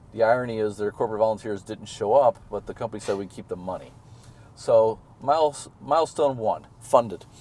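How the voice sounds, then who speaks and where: A man with an American accent speaks fairly quickly at medium pitch in a dark, mellow tone. His loudness swings widely, while his pitch variation is ordinary. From US Midwest (Missouri). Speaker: sustainability consultant and charity founder. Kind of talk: interview. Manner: fast; animated.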